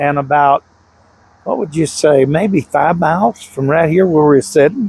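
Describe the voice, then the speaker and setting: Through noticeable background noise, a man with a Southern US accent speaks at a fairly high pitch with ordinary pitch variation, the sound dry and close with no echo. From Louisiana. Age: 70s. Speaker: eyewitness, hunter. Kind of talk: interview testimony.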